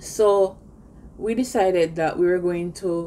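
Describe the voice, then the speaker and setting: A woman's fairly low, dark and mellow voice moves at a fairly slow pace with fairly even intonation over light background noise. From Jamaica. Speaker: YouTuber living abroad. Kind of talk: personal vlog monologue. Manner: conversational, frequent fillers. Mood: earnest, indignant storytelling.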